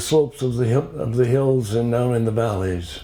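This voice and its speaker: A man with an American accent and ordinary pitch variation, amid noticeable background noise. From US Midwest, Upper Peninsula of Michigan. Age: 90s. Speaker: retired doctor giving life talk. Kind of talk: personal life story talk.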